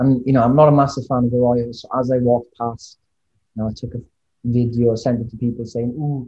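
A somewhat breathy man with a Welsh accent, medium pitch, monotone, flat intonation and a fairly quick pace. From Wales. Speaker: podcast guest.

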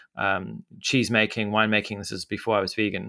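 The recording is very clean, with a silent background and a dry, close sound with no echo. A man speaks in a bright, sharp tone. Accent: Zimbabwean. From Zimbabwe. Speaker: media entrepreneur. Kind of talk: casual interview. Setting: studio. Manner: halting, many fillers.

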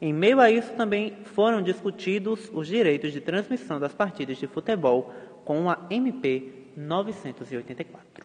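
This man has a high pitch with very wide pitch swings and hardly any pauses. Noticeable background noise sits behind him. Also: moderate pace, big swings in loudness. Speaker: podcast host. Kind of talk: scripted news recap.

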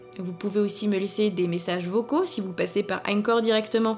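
A woman keeps a moderate pace as noticeable background noise continues. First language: not German (speaking French). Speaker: podcast host. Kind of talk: scripted narration.

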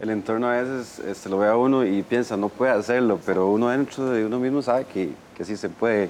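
A man's normal speaking voice at medium pitch, a normal speaking voice delivered at a fairly quick pace. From southern Costa Rica, Golfito. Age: 30s. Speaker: wheelchair user, course participant. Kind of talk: TV panel discussion.

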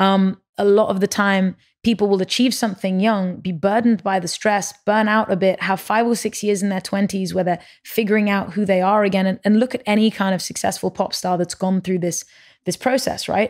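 Over a very clean recording with a silent background, someone with a London accent talks fairly quickly with fairly even intonation. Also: woman, medium pitch for a woman. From London and Paris, Lebanese parents. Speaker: musician and tech entrepreneur. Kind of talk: casual interview chat.

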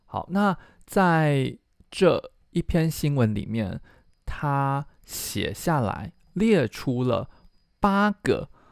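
The recording of this man is very clean, with a silent background. His voice sounds dry and close, with no echo. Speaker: Chinese language teacher and podcast host. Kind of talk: language lesson.

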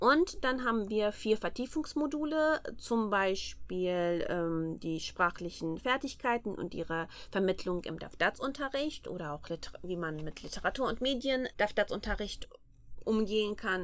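A woman talks at a moderate pace in a fairly high pitch that makes very wide swings. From Armenia, Yerevan. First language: Armenian (speaking German). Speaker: master's student. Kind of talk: interview. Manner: hesitant, many fillers.

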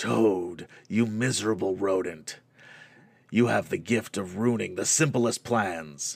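A man's raspy, hoarse put-on character voice, fairly low in pitch, at a fairly slow pace. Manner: contemptuous, menacing.

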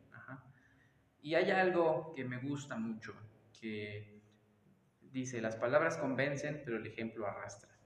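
Amid noticeable background noise and audible room echo, a man talks at a medium pitch with ordinary pitch variation, big swings in loudness, a fairly slow pace and long, frequent pauses. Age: 20s. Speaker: taekwondo and fitness instructor. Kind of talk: casual interview. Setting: taekwondo studio.

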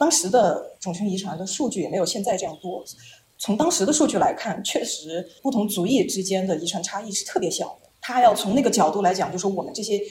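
With lively intonation and a fairly quick pace, the speaker uses a plain, everyday voice. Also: woman. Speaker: postdoctoral researcher in population genetics. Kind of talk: casual interview explaining science.

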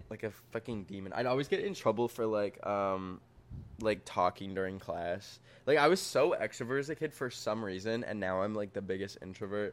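A man with a plain, everyday voice and a Canadian accent speaks fairly quickly at a fairly low pitch with ordinary pitch variation, on a very clean recording with a silent background. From Canada (Alberta). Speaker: social media creator. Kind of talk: casual chat. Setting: in an apartment.

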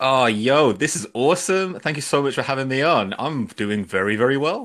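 On a very clean recording with a silent background, a man with a British accent speaks with lively intonation. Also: medium pitch for a man, moderate pace. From UK. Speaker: podcast guest. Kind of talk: casual chat. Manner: animated.

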